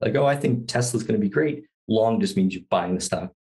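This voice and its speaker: Over a quiet background, a man speaks with an American accent at a medium pitch, his voice somewhat breathy. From US East Coast. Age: 40s. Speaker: sustainable investor. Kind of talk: casual chat. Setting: studio. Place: home room. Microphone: studio mic.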